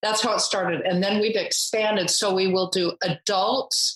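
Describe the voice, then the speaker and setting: A woman speaks in a plain, everyday voice at a medium pitch and a fairly slow pace. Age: 60s. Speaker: photographer and charity founder. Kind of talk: interview.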